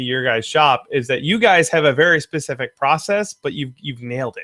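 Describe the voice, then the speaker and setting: A man has an unremarkable speaking voice, fairly high in pitch, with lively intonation at a fairly quick pace. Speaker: prop maker. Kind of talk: live-stream Q&A host.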